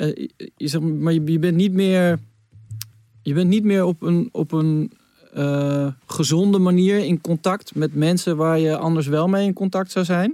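Speaking at a fairly slow pace with fairly even intonation, a man with a high voice comes through in a dry, close sound with no echo. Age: 30s. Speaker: podcast host. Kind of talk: casual chat.

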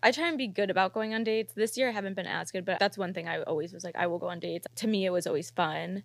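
A woman speaks at a very fast pace with hardly any pauses, her medium-pitched voice showing vocal fry and ordinary pitch variation on a very clean recording with a silent background. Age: 20s. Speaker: podcast host. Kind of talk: casual chat.

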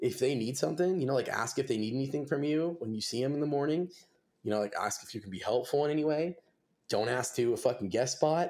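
Speaking at a very fast pace, a man uses a medium pitch with ordinary pitch variation. He has an American accent. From Southern California (Simi Valley, near Los Angeles). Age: 20s. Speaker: metal musician. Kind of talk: podcast interview.

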